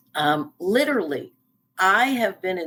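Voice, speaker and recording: A woman speaks at a fairly slow pace with lively intonation. It is an ordinary speaking voice. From US East Coast. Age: 60s. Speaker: life coach and speaker. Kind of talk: interview.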